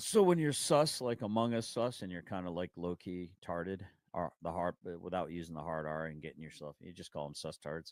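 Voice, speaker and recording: Over a silent background in a very clean recording, a man with a very deep, low voice speaks at a moderate pace with ordinary pitch variation and big swings in loudness, the sound dry and close with no echo. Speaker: livestream host. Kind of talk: casual chat. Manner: animated.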